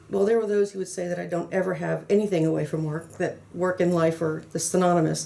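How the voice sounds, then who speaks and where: A woman speaks at a fairly quick pace in a fairly low pitch. Noticeable background noise sits behind her. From US South, New Orleans, Louisiana. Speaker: pharmaceutical consultant and trainer. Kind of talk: interview. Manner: frequent fillers and repetitions; animated.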